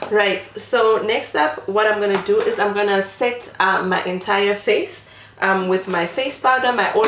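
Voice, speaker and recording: A woman with a non-native accent speaks at a fairly slow pace in a medium pitch, her intonation fairly even. Noticeable background noise and audible room echo are present. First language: not English. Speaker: beauty vlogger. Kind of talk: makeup tutorial. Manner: casual, many filler ums.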